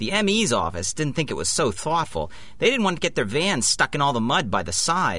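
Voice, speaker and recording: Fairly high pitched, a man talks in a bright, sharp tone with vocal fry. His pitch swings very widely. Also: fairly quick pace. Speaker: audio drama actor, police sergeant character.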